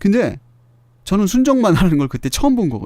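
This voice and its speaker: A man speaks in a high voice with a dark, mellow tone, his pitch swinging very widely. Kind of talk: podcast talk. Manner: casual, chatty.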